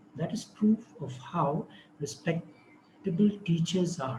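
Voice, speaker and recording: A soft-spoken man with a high pitch delivers his words with lively intonation. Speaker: speaker on education and Islamic spirituality. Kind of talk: online talk. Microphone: too quiet.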